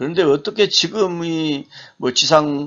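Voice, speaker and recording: With a fairly high pitch, a man speaks at a fairly slow pace. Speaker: seminary professor. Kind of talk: lecture. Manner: halting.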